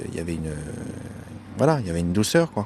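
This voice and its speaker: Noticeable background noise accompanies a man whose very deep, low voice shows ordinary pitch variation. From France, Samois-sur-Seine. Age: 20s. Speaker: musician. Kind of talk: interview. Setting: outdoors.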